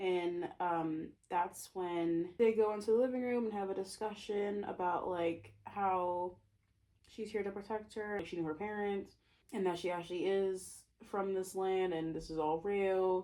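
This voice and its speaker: A woman's dark, mellow, medium-pitched voice, fairly slow and with fairly even intonation. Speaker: author and booktuber. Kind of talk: casual book summary vlog.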